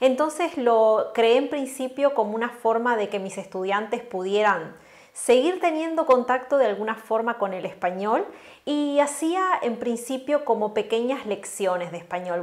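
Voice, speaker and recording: With noticeable background noise, a woman talks at a moderate pace, her fairly high pitch carried by lively intonation. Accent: Uruguayan. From Uruguay, Florida. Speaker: Spanish teacher and language content creator. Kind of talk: interview.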